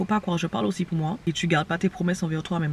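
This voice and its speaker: A woman with a fairly low pitch. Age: 20s. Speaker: vlogger and online entrepreneur. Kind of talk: casual vlog chat. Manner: fast; animated.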